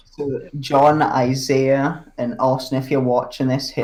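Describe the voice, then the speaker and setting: Fairly high male voice in a Scottish accent, with monotone, flat intonation and a fairly slow pace. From Scotland. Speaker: podcast co-host, amateur dunker. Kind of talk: casual chat.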